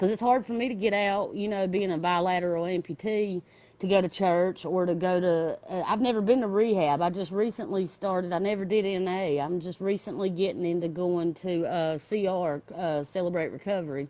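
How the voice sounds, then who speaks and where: A dark, mellow tone carries a Southern US accent. The pace is fairly quick, with hardly any pauses. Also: woman, medium pitch for a woman, ordinary pitch variation. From US South, North Carolina foothills. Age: 30s. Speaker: caller to recovery livestream. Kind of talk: casual chat.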